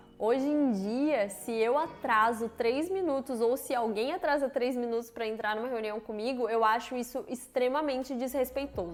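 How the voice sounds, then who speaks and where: A woman's high-pitched voice at a moderate pace, with ordinary pitch variation and hardly any pauses. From Brazil. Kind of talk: casual talk to camera.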